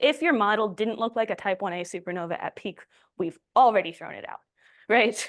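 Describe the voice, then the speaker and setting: A woman speaks at a fairly quick pace. The sound is dry and close with no echo, against a quiet background. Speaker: astrophysicist giving a colloquium talk. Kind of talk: lecture. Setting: colloquium with audience. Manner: fast.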